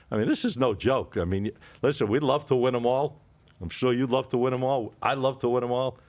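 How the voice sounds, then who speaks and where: Against a quiet background, a man talks at a fairly quick pace. His pitch is medium with ordinary variation. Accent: Boston. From Boston area, New England. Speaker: sports betting podcast host. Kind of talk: casual chat.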